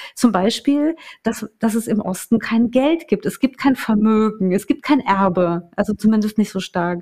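Speaking fairly slowly, a woman has a fairly high pitch, a dark, mellow tone, a somewhat breathy quality and ordinary pitch variation, in a dry, close sound with no echo. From eastern Germany, small town in Saxony-Anhalt. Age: 30s. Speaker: journalist. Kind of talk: casual chat. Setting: in-person recording in a house.

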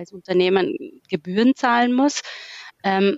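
A woman speaks with ordinary pitch variation. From Austria. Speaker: management consultant. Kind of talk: casual interview.

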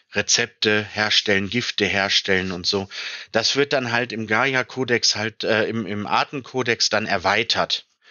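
A man is speaking. His pace is very slow. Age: 30s. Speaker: tabletop role-playing game designer. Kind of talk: interview.

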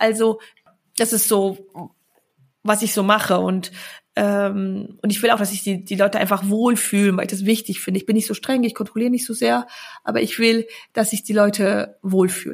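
A woman speaks at a medium pitch and a moderate pace, her voice somewhat breathy and her intonation fairly even. She leaves long, frequent pauses in a very clean recording with a silent background. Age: 30s. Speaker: entrepreneur and investing coach. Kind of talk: interview.

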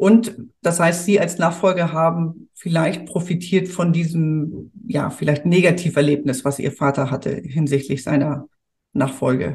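With ordinary pitch variation, this somewhat breathy voice proceeds at a fairly slow pace. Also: woman, fairly low pitch for a woman. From Hamburg, northern Germany. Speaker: podcast host, family business consultant. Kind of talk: interview.

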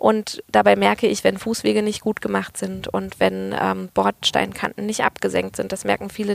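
A woman speaks at a moderate pace with hardly any pauses. The sound is dry and close, with no echo. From Germany, Berlin then Freiburg area (Baden-Württemberg). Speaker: political candidate. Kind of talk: interview.

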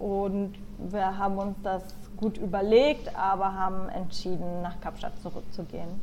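Audible room echo surrounds a woman speaking at a moderate pace, her medium pitch held in fairly even intonation. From Germany, Nuremberg (Franconia). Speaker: PR agency worker, emigrant. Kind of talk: casual interview chat. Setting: remote call.

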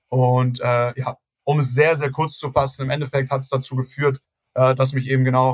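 Somewhat breathy and monotone, a man's medium-pitched voice moves at a moderate pace with flat intonation. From Hamburg, northern Germany. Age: 20s. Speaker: real estate agent and company founder. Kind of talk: podcast interview.

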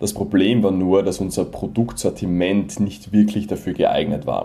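A man speaks with a slight Viennese accent. His pitch is fairly low. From Vienna, Austria. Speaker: Amazon seller. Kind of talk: casual interview.

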